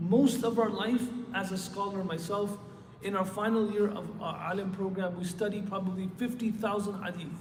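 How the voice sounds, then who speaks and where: A man with a high voice and fairly even intonation speaks at a moderate pace, with audible room echo and noticeable background noise. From Michigan, US. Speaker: Islamic scholar, preacher. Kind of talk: sermon. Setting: mosque with congregation, PA system. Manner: soft-spoken. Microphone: handheld mic, too quiet upstairs.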